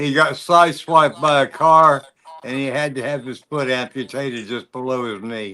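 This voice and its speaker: A man with a plain, everyday voice speaks at medium pitch and moderate pace, with ordinary pitch variation and big swings in loudness. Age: 60s. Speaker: motorcycle rider. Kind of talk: casual chat.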